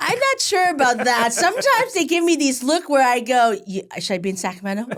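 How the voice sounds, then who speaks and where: A woman with a high pitch talks at a fairly quick pace, her voice making very wide pitch swings. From Southern California, came from Vietnam at age five. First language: Vietnamese. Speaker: county supervisor, politician. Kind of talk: interview conversation.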